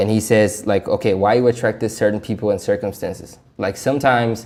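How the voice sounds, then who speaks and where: With a non-native accent, a man speaks at a medium pitch in a dark, mellow tone and fairly even intonation. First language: not English. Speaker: self-help vlogger. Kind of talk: casual vlog commentary. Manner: stuttering, halting; casual, talkative.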